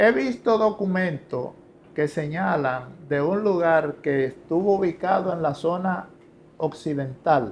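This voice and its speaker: The delivery is very slow, with lively intonation. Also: man, fairly high pitch for a man. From Dominican Republic, La Romana. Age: 60s. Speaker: historian and professor. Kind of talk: interview.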